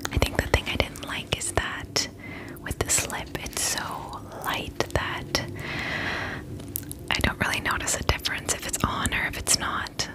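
A soft-spoken woman at a fairly slow pace, with long, frequent pauses and loud background noise. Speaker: beauty vlogger. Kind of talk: casual makeup review chat. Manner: soft, close ASMR speaking voice. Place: home room. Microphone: phone near.

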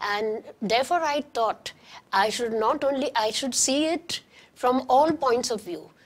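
A woman with a high pitch and ordinary pitch variation speaks at a fairly slow pace. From Karachi, Pakistan, then Goa. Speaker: historian and author; guest. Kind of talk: interview; interview answer. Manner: halting, with frequent restarts. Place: studio. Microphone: lapel.

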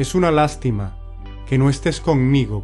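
Fairly slow speech with music in the background. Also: man. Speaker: poetry reciter. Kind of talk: poetry reading. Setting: background music.

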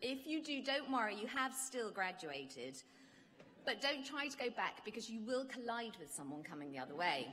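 Her pitch swings very widely at a moderate pace, in a bright, sharp tone with vocal fry. The woman is heard over light background noise. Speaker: ceremony announcer. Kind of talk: formal announcements. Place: hall. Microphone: podium.

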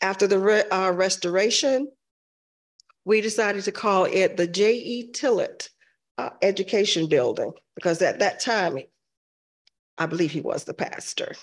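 A woman speaks at a fairly slow pace with lively intonation. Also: medium pitch for a woman.

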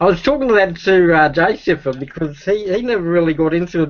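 A man talks with an Australian accent, his pitch high for a man. The background is quiet. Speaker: streamer. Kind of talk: casual conversation, reminiscing. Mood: cheerful, animated storytelling. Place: home room. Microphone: video call.

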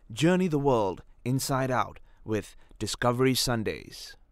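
A man talks at a fairly slow pace in a normal speaking voice, with medium pitch and ordinary pitch variation. The recording is very clean with a silent background. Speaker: voice actor. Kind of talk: storytelling promo read.

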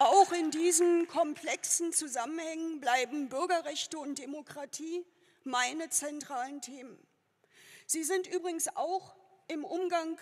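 Speaking at a fairly slow pace, a woman has an extremely high pitch and ordinary pitch variation. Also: quiet background. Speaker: politician giving a candidacy speech. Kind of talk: political speech. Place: hall. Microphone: podium.

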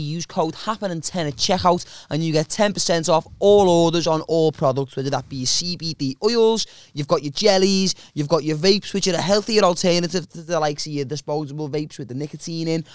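A man with a British accent and a high pitch, fairly quick and hardly pausing, with ordinary pitch variation and a dry, echo-free sound against a quiet background. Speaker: comedian podcast host. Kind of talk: casual chat. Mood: playful, jokey. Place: studio. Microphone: studio mic.

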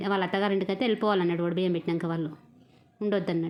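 A woman speaks with a Telangana accent. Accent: Telangana Telugu. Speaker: vlogger. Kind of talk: casual vlog narration. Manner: chatty, informal.

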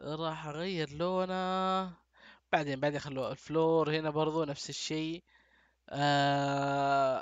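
This man talks at a very slow pace. His intonation stays monotone and flat. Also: fairly high pitch for a man. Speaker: gaming youtuber. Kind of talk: let's play commentary. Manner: casual, thinking aloud.

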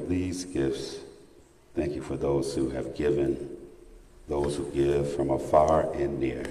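Speaking at a fairly slow pace, a man has a very deep, low pitch. Room echo is audible. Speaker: preacher. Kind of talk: sermon in full flow, preaching to a church congregation. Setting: church. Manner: animated, rousing, call-and-response with the congregation. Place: church. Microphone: podium.

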